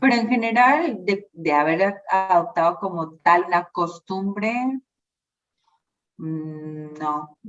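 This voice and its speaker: Her intonation is lively. The woman talks at a very slow pace. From Colombia, Bogotá. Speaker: social worker and labor relations graduate. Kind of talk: interview.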